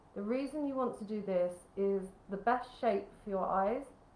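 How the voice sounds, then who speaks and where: With an English accent, a woman talks at a moderate pace in a medium pitch with ordinary pitch variation, over noticeable background noise. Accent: English, careful and proper. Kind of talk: careful, teacherly, clear. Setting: makeup tutorial. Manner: instructive.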